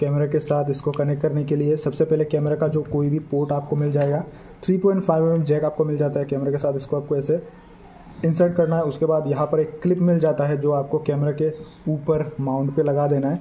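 The voice is somewhat breathy, with monotone, flat intonation and very even loudness. Light background noise can be heard. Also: man, moderate pace. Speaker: product reviewer. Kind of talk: tutorial. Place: home room.

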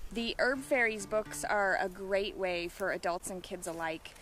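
With light background noise and a dry sound with no echo, a woman talks at a fairly slow pace using lively intonation. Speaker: wild plant guide. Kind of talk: tutorial. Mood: cheerful, enthusiastic. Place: open country. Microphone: phone near.

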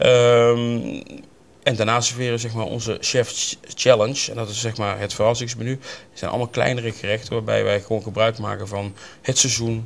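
The voice has vocal fry and little pitch movement. It moves at a moderate pace. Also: man, medium pitch for a man.

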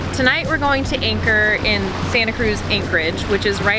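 Over loud background noise, a woman talks at a fairly quick pace in a dry sound with no echo. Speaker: sailing vlogger. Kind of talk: casual vlog chat. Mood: excited, cheerful. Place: boat.

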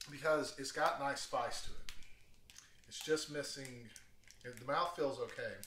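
With audible room echo and light background noise, a man speaks at a fairly slow pace with ordinary pitch variation. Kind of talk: tutorial. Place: kitchen. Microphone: camera far.

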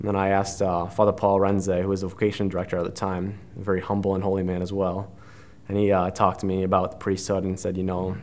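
At a very fast pace, a man with an American accent talks at a fairly low pitch with monotone, flat intonation. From Wisconsin, with teen years in Texas. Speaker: seminarian. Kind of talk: testimony; interview answer. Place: studio.

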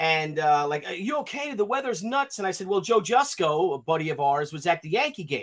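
The pitch of this man's voice swings in big arcs. He talks at a moderate pace.

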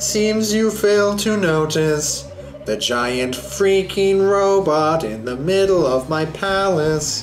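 Over clear background noise, a put-on character voice at a middle pitch moves along at a very slow pace. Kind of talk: haughty and imperious.

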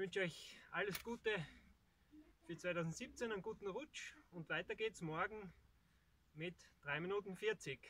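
A man projects his voice in a bright, sharp tone with ordinary pitch variation. He pauses long and often, and the sound is dry with no echo. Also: moderate pace. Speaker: vlogger. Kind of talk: casual vlog chat. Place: open country.

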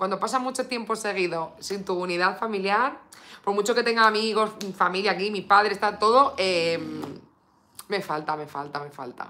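A woman with an animated tone speaks at a moderate pace, showing ordinary pitch variation and big swings in loudness. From Spain. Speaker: beauty YouTuber. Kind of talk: live stream makeup unboxing. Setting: home live stream. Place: home room.

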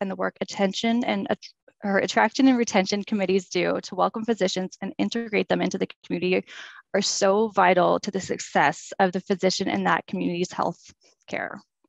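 A woman's medium-pitched voice with vocal fry, fairly even intonation and a very fast pace, dry and close with no echo. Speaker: health services physician recruitment consultant. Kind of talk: webinar presentation. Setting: video call. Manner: fast talker; nervous when speaking.

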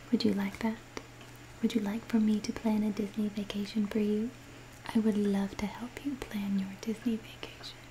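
Over light background noise, a soft-spoken woman talks in a gentle tone with monotone, flat intonation. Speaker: relaxation video creator. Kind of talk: soft-spoken reading and personal chat. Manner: soft, close, gentle ASMR voice. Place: home room. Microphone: studio mic.

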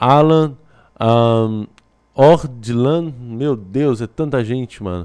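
A man's voice with a dark, mellow tone comes through over a quiet background. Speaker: YouTuber reacting to reality show. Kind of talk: casual vlog commentary. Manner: animated. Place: home room. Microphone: studio mic.

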